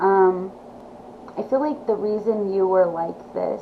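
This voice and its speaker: Noticeable background noise sits under a woman's speech. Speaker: tarot reader. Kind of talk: tarot reading. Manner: slow; halting.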